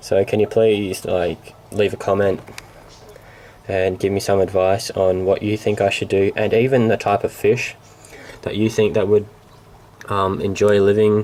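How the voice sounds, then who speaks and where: A man's fairly low, monotone voice with an Australian accent, at a fairly slow pace with long, frequent pauses, over noticeable background noise. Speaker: hobbyist vlogger. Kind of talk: casual explanation to camera. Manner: halting, many fillers.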